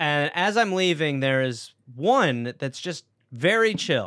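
A man with an American accent speaks in a bright, sharp tone, with lively intonation and a fairly high pitch. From Wisconsin, raised by English parents. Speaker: stand-up comedian. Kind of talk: casual chat.

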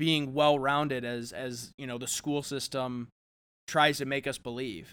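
The tone is bright and sharp, at a moderate pace. The recording is very clean, with a silent background. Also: man. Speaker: podcast co-host. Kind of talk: casual chat.

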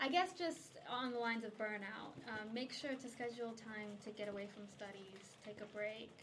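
A woman talks at a moderate pace with a fairly high pitch. Noticeable background noise is present. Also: ordinary pitch variation, hardly any pauses. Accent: American. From United States. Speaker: charity staff worker, podcast host. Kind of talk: casual chat; scripted intro. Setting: studio recording.

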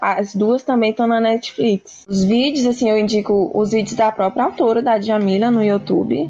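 Music plays in the background as a woman speaks. Her pitch is fairly high, with ordinary variation. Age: 20s. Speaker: philosophy student. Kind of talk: casual interview about philosophy. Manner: hesitant, many fillers.

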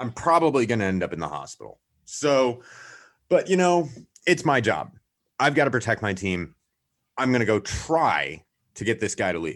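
Vocal fry and very wide pitch swings mark an animated tone broken by long, frequent pauses. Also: man, medium pitch for a man. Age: 30s. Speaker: software consultant. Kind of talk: casual interview. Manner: fast talker.

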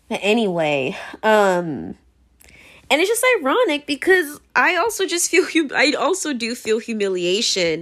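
A high-pitched woman with an American accent, very wide pitch swings, a fairly slow pace, and a very clean recording with a silent background. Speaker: podcaster. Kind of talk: casual solo monologue. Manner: casual, filler-heavy, laughs often.

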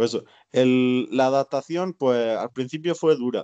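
A man's medium-pitched, dark and mellow voice at a fairly slow pace, with ordinary pitch variation over a quiet background. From Spain. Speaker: emigrant waiter and trade unionist. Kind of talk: casual interview. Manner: halting.

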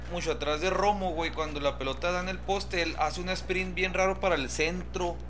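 A man speaks at a fairly quick pace with hardly any pauses, over noticeable background noise and audible room echo. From Ciudad Juárez, Mexico. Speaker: podcast host. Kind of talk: casual chat.

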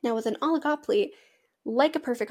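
A woman with an American accent has a dark, mellow tone and ordinary pitch variation. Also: very clean recording, silent background. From Washington state, US. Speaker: podcast host, agriculture and western fashion. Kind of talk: casual solo podcast talk.

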